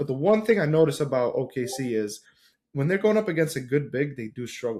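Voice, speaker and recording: A somewhat breathy man's voice, fairly high in pitch, with lively intonation. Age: 20s. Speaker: basketball podcast panelist. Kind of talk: casual chat. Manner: animated.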